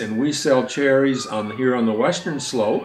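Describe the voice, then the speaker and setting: At a fairly slow pace, a man speaks with a medium pitch and ordinary pitch variation. Noticeable background noise and audible room echo are present. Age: 70s. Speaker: farmer. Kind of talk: casual interview talk.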